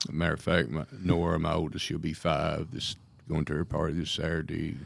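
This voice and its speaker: This man's voice is very deep and low, with vocal fry running through it. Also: ordinary pitch variation, fairly quick pace. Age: 60s. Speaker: county sheriff. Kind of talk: radio interview.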